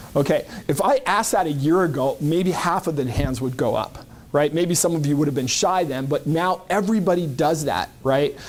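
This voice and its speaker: A man's fairly high voice at a moderate pace, with very even loudness, an ordinary speaking voice and ordinary pitch variation. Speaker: LinkedIn marketing consultant. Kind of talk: presentation to a business group.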